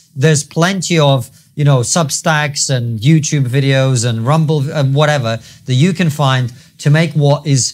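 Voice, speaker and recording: A somewhat breathy man's voice at fairly high pitch moves at a moderate pace with ordinary pitch variation over a quiet background. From UK. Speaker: podcast host. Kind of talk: interview. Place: studio. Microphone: lapel.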